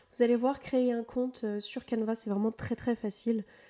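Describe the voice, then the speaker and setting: Her intonation is monotone and flat. The woman speaks at a fairly slow pace. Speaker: virtual assistant and tutorial creator. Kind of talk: software tutorial. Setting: newly moved-into, barely furnished room. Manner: hesitant, many fillers. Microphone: echo in the room.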